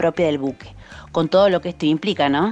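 Noticeable background noise sits under a woman's voice, which shows ordinary pitch variation. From Argentina, Córdoba province. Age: 30s. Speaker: army doctor. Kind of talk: recorded message.

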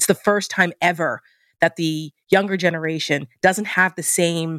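In a very clean recording with a silent background, a woman with an American accent uses an unremarkable speaking voice, fairly low in pitch, with fairly even intonation. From New Jersey. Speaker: political commentator. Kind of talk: political interview.

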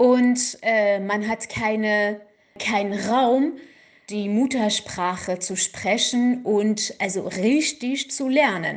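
A fairly high-pitched woman with a Kurdish accent, very slow pace and ordinary pitch variation. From Iran, Kurdish region. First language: Kurdish (speaking German). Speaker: activist. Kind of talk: interview. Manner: halting, with fillers.

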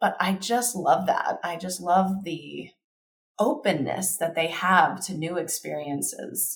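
A woman speaks with vocal fry. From US South, Kentucky. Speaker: designer. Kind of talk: casual interview.

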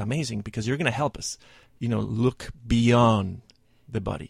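A man speaks at a medium pitch and a moderate pace, with ordinary pitch variation and vocal fry. The recording is very clean, the background silent. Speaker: fitness business founder. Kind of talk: radio interview.

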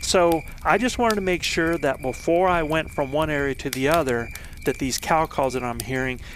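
Against noticeable background noise, a man talks with lively intonation at a fairly high pitch. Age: 50s. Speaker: elk hunting coach and podcast host. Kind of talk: storytelling monologue.

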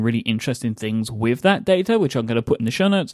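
A man speaks with an American accent. His pitch is medium and his intonation lively. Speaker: podcast co-host. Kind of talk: casual chat.

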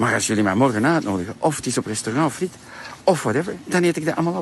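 Lively intonation and an Antwerp accent come through over noticeable background noise. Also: man. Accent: Flemish (Antwerp) Dutch. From Flanders, Antwerp. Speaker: diet product entrepreneur and vlogger. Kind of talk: promotional monologue. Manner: animated.

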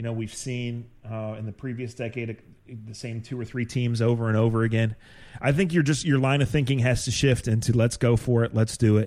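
A man's unremarkable speaking voice at a fairly quick pace, medium in pitch, with fairly even intonation. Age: 50s. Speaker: sports podcast host. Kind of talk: casual chat.

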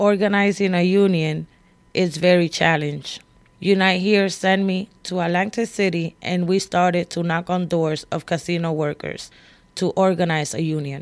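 At a moderate pace, a woman with a plain, everyday voice speaks at a fairly low pitch with fairly even intonation in a very clean recording with a silent background. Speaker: union shop steward and organizer. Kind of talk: recorded personal testimony.

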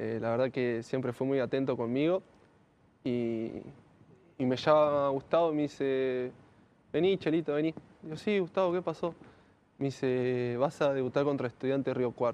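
Here a man speaks at a moderate pace and medium pitch, with ordinary pitch variation. He leaves long, frequent pauses. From Argentina, Greater Buenos Aires (Lanús). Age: 20s. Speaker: professional footballer. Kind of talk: interview.

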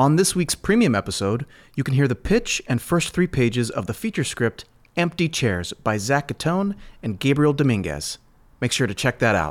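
On a very clean recording with a silent background, a man speaks at a moderate pace. His pitch swings very widely. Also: medium pitch for a man. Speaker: podcast host. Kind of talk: casual chat.

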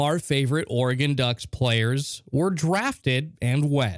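An unremarkable speaking voice from a man at medium pitch with ordinary pitch variation, recorded dry and close with no echo on a very clean recording with a silent background. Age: 30s. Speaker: sports podcast host. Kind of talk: solo sports podcast monologue. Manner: casual, conversational.

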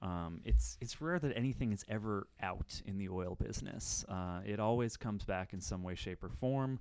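On a very clean recording with a silent background, a man with an American accent has an unremarkable speaking voice at a fairly low pitch. He talks at a moderate pace with lively intonation and hardly any pauses. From Menominee, Wisconsin (US Upper Midwest). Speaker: energy industry journalist. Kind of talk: casual expert discussion. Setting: office studio.

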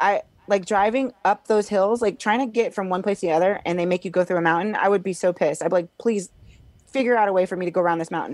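A woman with an American accent talks at a very fast pace. The sound is dry and close with no echo, against a quiet background. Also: medium pitch for a woman, ordinary pitch variation. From Illinois. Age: 40s. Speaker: comedian. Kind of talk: casual chat.

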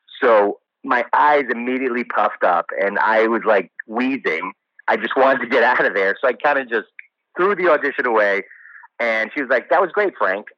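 With an American accent, this is an unremarkable speaking voice at a moderate pace. The intonation is lively. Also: man, medium pitch for a man. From New Jersey, US. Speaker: actor. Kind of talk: interview.

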